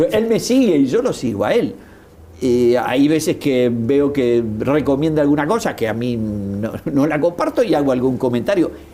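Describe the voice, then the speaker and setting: Here a man talks in a fairly high voice with very wide pitch swings. His pace is fairly slow. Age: 60s. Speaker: political commentator. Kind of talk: interview. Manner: halting.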